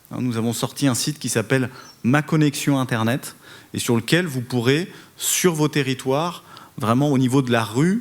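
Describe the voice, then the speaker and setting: Moderately paced male speech with ordinary pitch variation. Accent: Parisian. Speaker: telecom regulator head. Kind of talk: conference panel speech. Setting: conference hall with audience. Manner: hesitant, many fillers and repetitions.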